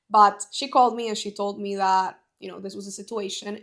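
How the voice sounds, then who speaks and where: Someone with a Spanish accent speaks on a very clean recording with a silent background. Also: woman. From Bolivia. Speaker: network marketing entrepreneur. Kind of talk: casual podcast conversation.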